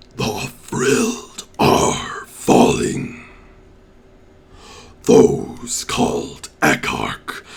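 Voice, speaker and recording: A man puts on a raspy character voice. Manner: ominous, commanding.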